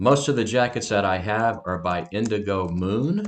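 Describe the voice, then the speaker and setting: An ordinary speaking voice moves at a fairly slow pace with ordinary pitch variation against a quiet background. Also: man. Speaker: online reseller. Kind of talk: tutorial.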